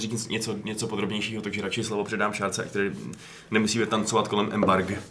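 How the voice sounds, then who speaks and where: Speaking at a fairly quick pace, a man talks with a fairly low pitch. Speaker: podcast host. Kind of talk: casual chat.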